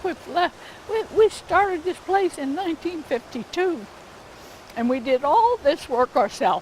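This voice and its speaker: Speaking fairly slowly at an extremely high pitch, a woman makes very wide pitch swings over noticeable background noise. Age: 80s+. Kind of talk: interview answer.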